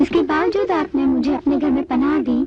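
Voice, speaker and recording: A put-on character voice pitched high, over clear background noise. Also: moderate pace. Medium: fan dub. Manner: polite, friendly.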